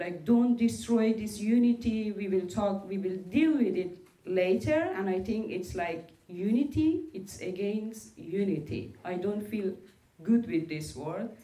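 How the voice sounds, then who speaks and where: A woman's medium-pitched voice in a Persian accent, with lively intonation and audible room echo. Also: fairly slow pace. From Iran (Afghan minority family). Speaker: LGBTQI rights activist. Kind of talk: panel discussion.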